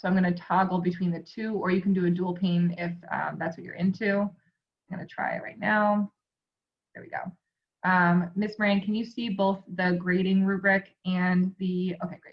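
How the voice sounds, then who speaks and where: A somewhat breathy woman's voice of medium pitch in a monotone, flat intonation. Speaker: school staff trainer for teachers. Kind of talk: screen-share tutorial. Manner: fast; casual, filler-heavy.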